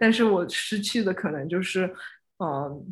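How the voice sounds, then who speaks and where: A woman talks in an ordinary speaking voice. Her pitch is medium and her pace moderate. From China, Suzhou. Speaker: spatial experience designer. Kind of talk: casual interview.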